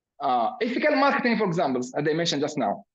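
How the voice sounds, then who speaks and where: A man speaks with very wide pitch swings. Room echo is audible. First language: Arabic. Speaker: professor. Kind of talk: lecture. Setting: video call. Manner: halting, many fillers.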